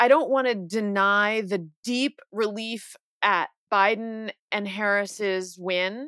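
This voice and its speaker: A woman's fairly high, a normal speaking voice with an American accent and ordinary pitch variation, dry and close with no echo on a very clean recording with a silent background. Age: 40s. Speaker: author and columnist. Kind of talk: interview.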